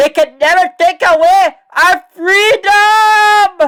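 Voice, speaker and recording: In a put-on character voice, someone speaks at an extremely high pitch and a very slow pace. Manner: rousing, rallying.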